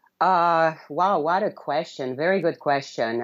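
Over a quiet background, a woman speaks with a very deep, low pitch. Her pitch variation is ordinary. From Romania, city near Yugoslav border. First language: Romanian. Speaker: blogger and freedom advocate. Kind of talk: interview. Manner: halting.

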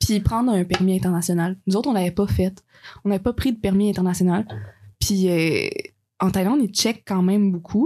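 At a moderate pace and medium pitch, a woman speaks in a dark, mellow, somewhat breathy tone with ordinary pitch variation, very even loudness, and long, frequent pauses. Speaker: friend of the host, travel companion. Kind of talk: casual chat.

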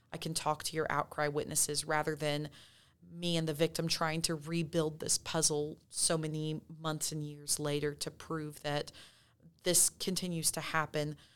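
Very deep and low in pitch, a woman with a Texan accent speaks in a monotone, flat intonation, recorded very cleanly against a silent background. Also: moderate pace. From West Texas. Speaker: police detective. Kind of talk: interview.

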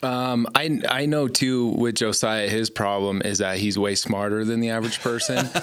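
Hardly pausing, a man of medium pitch keeps very even loudness and fairly even intonation amid noticeable background noise. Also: moderate pace. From Gillette, Wyoming. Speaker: church member, house flipper. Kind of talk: casual faith discussion.

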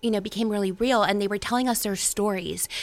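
In a very clean recording with a silent background, a woman speaks at a medium pitch with a bright, sharp tone and fairly even intonation. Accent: American. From West Virginia, Ohio Valley (Weirton). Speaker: local political group chair and volunteer organizer. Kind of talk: radio interview.

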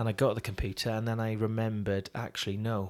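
A man with a Welsh accent talks at a fairly quick pace with monotone, flat intonation. The recording is very clean, with a silent background. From Wales, Swansea. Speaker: worship singer and songwriter, former journalist. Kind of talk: interview.

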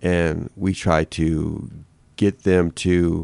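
A man with an American accent speaks in a very deep, low pitch and a dark, mellow tone, recorded with dry, close sound and no echo. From Detroit, Michigan. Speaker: restorative justice director and author. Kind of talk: casual interview conversation.

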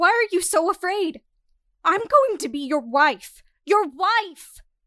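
A shrill, put-on character voice moves along at a fairly slow pace. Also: woman, extremely high pitch for a woman. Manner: angry, accusing.

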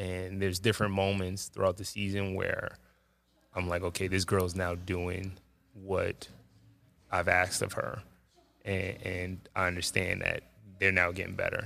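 Talking at a fairly slow pace in a New York accent, a man with a very deep, low voice has a bright, sharp tone. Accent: New York City. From Jamaica, Queens, New York City. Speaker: high school basketball coach. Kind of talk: casual interview. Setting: school gymnasium.

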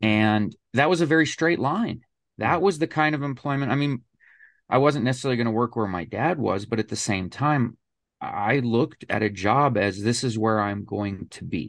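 A normal speaking voice from a man, medium in pitch, with lively intonation at a moderate pace, on a very clean recording with a silent background. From Colorado. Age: 40s. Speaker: podcast guest sharing life story. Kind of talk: casual interview, personal story.

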